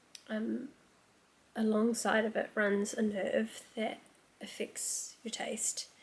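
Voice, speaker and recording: In a New Zealand accent, a woman speaks quietly at a very slow pace with long, frequent pauses. Her intonation stays monotone and flat. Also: fairly high pitch for a woman. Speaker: book vlogger. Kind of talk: casual vlog talk.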